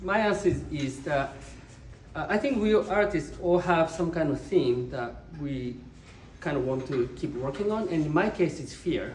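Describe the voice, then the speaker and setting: Audible room echo surrounds a man speaking with lively intonation in a Japanese accent. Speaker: visual artist. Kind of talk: artist talk. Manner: halting, many fillers.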